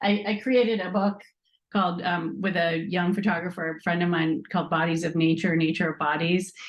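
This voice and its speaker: A woman with an unremarkable speaking voice talks at a fairly quick pace, her pitch fairly low and her intonation fairly even. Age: 60s. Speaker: nonprofit co-founder. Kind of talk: interview.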